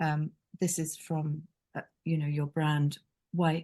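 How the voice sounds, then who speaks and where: Somewhat breathy and dark, mellow in tone, a woman's fairly low voice comes through with a dry, close sound and no echo. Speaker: branding consultant. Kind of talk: webinar presentation. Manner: hesitant, many fillers.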